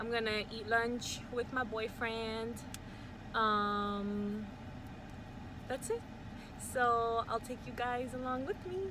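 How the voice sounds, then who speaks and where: A woman speaks very slowly at a fairly high pitch with ordinary pitch variation, and audible room echo surrounds her voice. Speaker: vlogger. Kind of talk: casual vlog chat. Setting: in a car. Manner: casual, lots of fillers like um and like.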